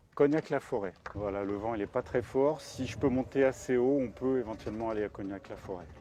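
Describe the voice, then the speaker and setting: Medium in pitch, this man's voice has a dark, mellow tone. He speaks at a fairly quick pace with ordinary pitch variation. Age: 60s. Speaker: gliding club president and flight instructor. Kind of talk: casual interview. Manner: hesitant with frequent fillers.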